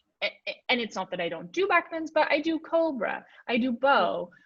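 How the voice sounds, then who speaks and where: With very wide pitch swings, a woman speaks at a moderate pace. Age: 30s. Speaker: yoga teacher. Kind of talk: casual chat. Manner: halting.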